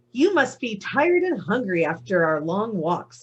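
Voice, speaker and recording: The speaker is a woman using a put-on character voice. Her pitch rises and falls over a very wide range. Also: medium pitch for a woman, moderate pace. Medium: read story. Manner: superior, matter-of-fact.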